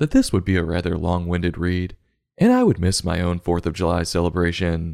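A man speaks fairly quickly at a very deep, low pitch in an American accent, on a very clean recording with a silent background. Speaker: book review podcast host. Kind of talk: comedic book review monologue. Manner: animated.

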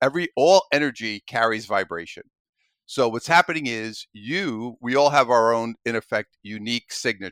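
A man with a strong New York accent, medium pitch, moderate pace and lively intonation, on a very clean recording with a silent background. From Brooklyn, New York. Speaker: author and coach. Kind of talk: casual interview.

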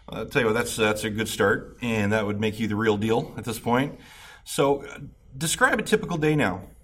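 Audible room echo surrounds a man speaking at a medium pitch. He keeps a moderate pace with ordinary pitch variation. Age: 40s. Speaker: recovery podcast host. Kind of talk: interview.

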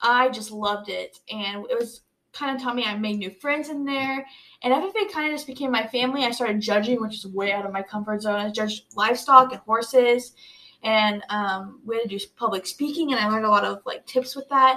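The voice has a bright, sharp tone, ordinary pitch variation and a fairly quick pace. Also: woman, fairly high pitch for a woman. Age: young. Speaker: college student, teacher's daughter. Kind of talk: casual chat.

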